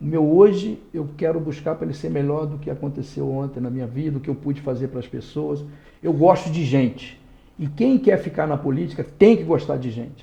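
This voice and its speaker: A man talks at a moderate pace with a fairly high pitch. His voice is somewhat breathy. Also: ordinary pitch variation. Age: 60s. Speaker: lawyer and former politician. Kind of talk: interview. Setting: podcast studio.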